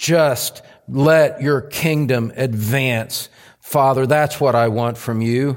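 Speaking at a very slow pace, a man keeps a medium pitch. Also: fairly even intonation. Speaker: pastor. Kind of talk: sermon; fervent prayer, spoken aloud in first person. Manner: earnest, pleading, impassioned.

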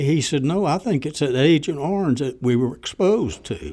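A man with a Southern US accent at a moderate pace, lively in intonation, in a very clean recording with a silent background. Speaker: former civilian range worker. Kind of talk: interview.

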